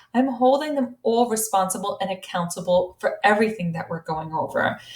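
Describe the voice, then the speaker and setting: In an American accent, a woman speaks at a fairly high pitch with lively intonation, an animated tone and a somewhat breathy quality. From US, with long stays in Italy. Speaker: high school Italian teacher. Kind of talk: recorded presentation to parents. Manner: fast.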